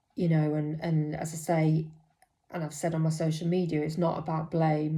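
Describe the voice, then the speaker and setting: Audible room echo surrounds speech delivered in a flat, monotone way. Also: woman. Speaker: mental health nurse. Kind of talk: personal vlog monologue. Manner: hesitant, many fillers.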